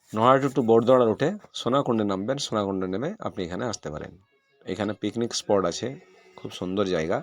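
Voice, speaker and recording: A man's fairly low-pitched, normal speaking voice, with ordinary pitch variation and a dry, close sound with no echo. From West Bengal, Birbhum district. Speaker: village vlogger. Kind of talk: travel vlog narration.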